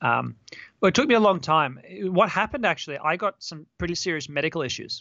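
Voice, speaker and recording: A man with an Australian accent, high-pitched, very fast and lively in intonation. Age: 30s. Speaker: dating coach. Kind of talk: interview.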